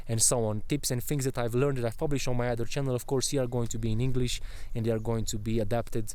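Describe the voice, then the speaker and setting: In a Romanian accent, a man talks at a very fast pace with a medium pitch and a dark, mellow tone. His intonation is monotone and flat, his loudness very even, and the room echo is audible. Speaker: travel vlogger. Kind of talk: casual vlog chat. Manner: halting.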